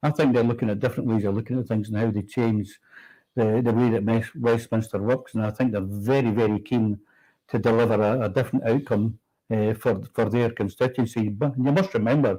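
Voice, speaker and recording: Recorded very cleanly against a silent background, a man with a Scottish accent talks at a fairly quick pace and medium pitch, with a dark, mellow tone and fairly even intonation. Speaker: politician. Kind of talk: political talk show discussion. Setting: livestream from Westminster.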